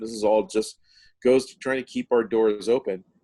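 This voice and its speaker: The speaker is a man. His intonation is fairly level throughout. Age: 60s. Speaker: music venue owner. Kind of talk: casual chat. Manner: halting, frequent restarts.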